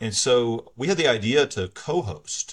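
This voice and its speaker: The recording is very clean, with a silent background. A man speaks in a somewhat breathy voice. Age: 40s. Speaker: church elder and lawyer. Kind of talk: casual interview.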